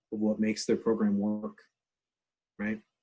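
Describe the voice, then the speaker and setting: Medium-pitched male speech at a fairly quick pace. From Canada, northern New Brunswick. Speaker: education researcher and workshop speaker. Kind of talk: online workshop talk. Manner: fast; casual, animated.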